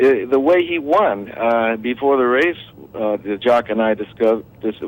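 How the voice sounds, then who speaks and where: A man's speech comes through with noticeable background noise around it. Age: 70s. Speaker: racehorse trainer. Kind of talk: radio interview. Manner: halting.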